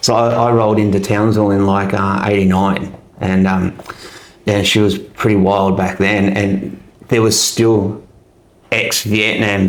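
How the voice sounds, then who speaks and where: Against audible room echo, a man with an Australian accent speaks fairly slowly at a fairly low pitch in a monotone, flat intonation. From Australia, Melbourne. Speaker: army veteran. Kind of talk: casual interview chat. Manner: hesitant, many fillers.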